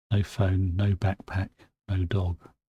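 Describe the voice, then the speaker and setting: A man speaks fairly slowly in a very deep, low pitch, somewhat breathy, with a dark, mellow tone. His intonation is monotone and flat, and the recording is very clean with a silent background. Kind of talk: spoken-word folk horror storytelling, bedtime story. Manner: measured, storytelling narration.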